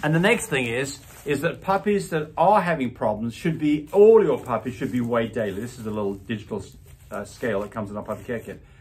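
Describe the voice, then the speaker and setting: The man's delivery is very fast. A somewhat breathy tone runs through it. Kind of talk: tutorial. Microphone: phone near.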